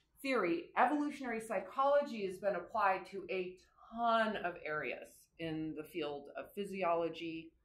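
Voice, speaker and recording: With audible room echo around her, a woman speaks in a bright, sharp tone with lively intonation. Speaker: course instructor. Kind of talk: lecture. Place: classroom. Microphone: camera far.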